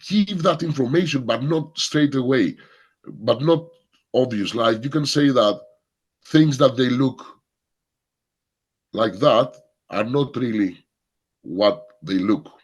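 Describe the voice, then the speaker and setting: A man with a Greek accent speaks at a very slow pace, leaving long, frequent pauses. His medium-pitched voice has lively intonation. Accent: Greek accent, non-native English. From Greece. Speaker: film workshop leader. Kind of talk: workshop Q&A. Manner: halting, repeats words.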